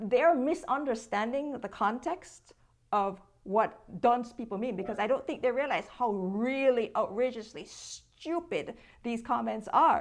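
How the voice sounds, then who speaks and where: Over a quiet background, a woman with a Jamaican accent speaks at a fairly slow pace. Her voice is high, with lively intonation. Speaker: social media content creator. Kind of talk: interview.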